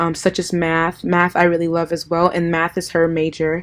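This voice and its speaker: A woman with an American accent speaks at a moderate pace in a fairly low pitch. The recording is very clean, with a silent background. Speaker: college student. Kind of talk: video blog for class assignment. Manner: hesitant with frequent ums.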